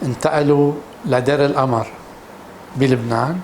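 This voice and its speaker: A man speaks with noticeable background noise. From Syria, Damascus. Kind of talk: personal testimony interview. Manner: halting, with repeated false starts.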